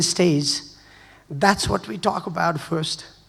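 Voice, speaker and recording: A man talks at a moderate pace. Audible room echo and noticeable background noise fill the recording. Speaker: hospitality educator. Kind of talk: conference presentation. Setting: stage with audience.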